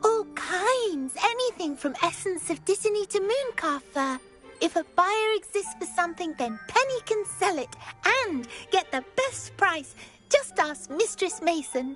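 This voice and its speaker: A female-sounding voice performs a put-on character voice at an extremely high pitch and a moderate pace. Clear music plays in the background. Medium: video game. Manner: speaks in third person, eager, rambling.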